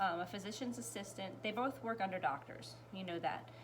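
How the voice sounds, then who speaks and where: Fairly quick speech from a woman amid noticeable background noise and audible room echo. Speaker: high school health science teacher. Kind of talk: recorded class recap lecture. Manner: fast; casual, filler-heavy.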